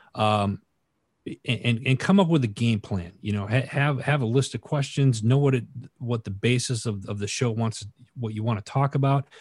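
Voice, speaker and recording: Over a quiet background, a man speaks at a moderate pace in a somewhat breathy voice with ordinary pitch variation. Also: medium pitch for a man, dry, close sound with no echo. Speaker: entrepreneur and military veteran. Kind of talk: casual interview. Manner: halting, repeats words.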